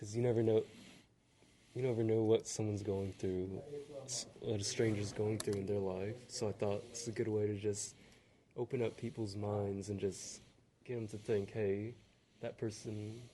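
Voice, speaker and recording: Quiet and at a moderate pace, a man speaks in a fairly low, dark, mellow voice with flat monotone intonation and long, frequent pauses. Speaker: podcast host. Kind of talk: casual interview. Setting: library.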